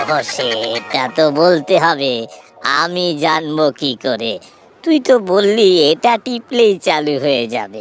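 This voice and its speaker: This cartoonish character voice sits at a middle pitch and moves at a fairly slow pace. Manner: fretful, easily flustered.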